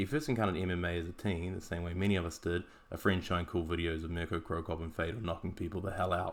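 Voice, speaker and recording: Here is a man with a New Zealand accent. He talks at a very fast pace. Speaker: podcast host, martial arts analyst. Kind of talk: scripted podcast analysis. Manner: casual, wry.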